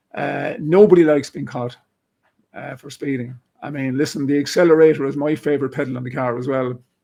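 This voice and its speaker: A man with an Irish accent and a dark, mellow tone speaks at a fairly quick pace and a fairly high pitch, with big swings in loudness. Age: 60s. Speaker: retired police officer. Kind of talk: interview discussion. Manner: animated.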